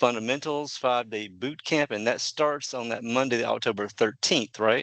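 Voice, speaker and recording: A man talks at a medium pitch that varies in an ordinary way, with a quiet background behind him. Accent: Southern. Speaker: podcast host. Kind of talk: interview podcast.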